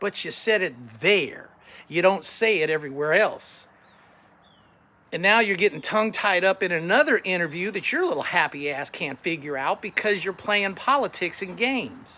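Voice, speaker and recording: At a high pitch, a man speaks in a raised, projected voice. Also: lively intonation, moderate pace. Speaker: political candidate. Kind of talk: campaign message to camera. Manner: combative, blunt.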